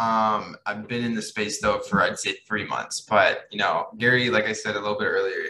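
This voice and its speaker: Here a man speaks with a Midwestern US accent. His pace is fairly quick. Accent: US Midwest. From Kansas City, Missouri. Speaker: marketer and social media influencer. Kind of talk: casual interview chat.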